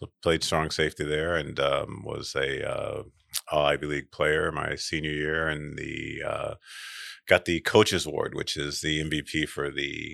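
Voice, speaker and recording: Speaking at a fairly slow pace with an American accent, a man comes through a very clean recording with a silent background. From western New York (Rochester). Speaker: orthopedic surgeon. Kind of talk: casual interview.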